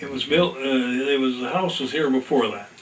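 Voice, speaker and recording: With an American accent, a man talks at a fairly high pitch and with lively intonation against noticeable background noise. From US Midwest, northeast Indiana. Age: 90s. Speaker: retired farmer. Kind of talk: oral history interview. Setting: at home. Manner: halting.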